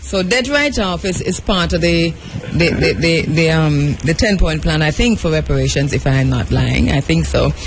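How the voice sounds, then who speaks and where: A man speaks at a moderate pace with very even loudness. There is noticeable background noise. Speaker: radio talk show host. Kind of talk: casual political discussion. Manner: halting, repeats words.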